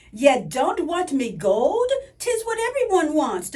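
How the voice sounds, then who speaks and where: A woman's put-on character voice, extremely high with very wide pitch swings, at a fairly slow pace. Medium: read story. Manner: folksy, twinkly.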